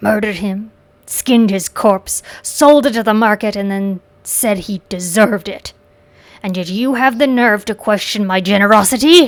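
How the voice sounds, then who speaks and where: This is a put-on character voice with a growling sound. The pace is moderate. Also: woman, medium pitch for a woman. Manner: snarling, bitter.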